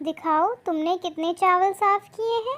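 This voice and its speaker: This cartoonish character voice is squeaky and female-sounding, pitched extremely high. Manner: firm, authoritative.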